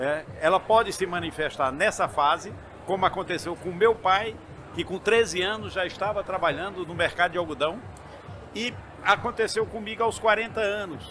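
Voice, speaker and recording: High in pitch, a man's raised, projected voice shows ordinary pitch variation. He keeps a moderate pace amid noticeable background noise. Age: 60s. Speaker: entrepreneur and university chancellor. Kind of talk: interview. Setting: event booth at trade fair. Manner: halting.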